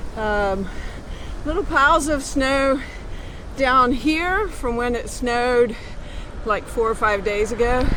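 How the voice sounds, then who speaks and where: Speaking at a very slow pace with long, frequent pauses, a woman uses a high pitch and ordinary pitch variation amid audible room echo. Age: 60s. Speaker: cycling travel vlogger. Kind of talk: casual vlog narration. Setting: outdoors on a bicycle. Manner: casual with frequent fillers.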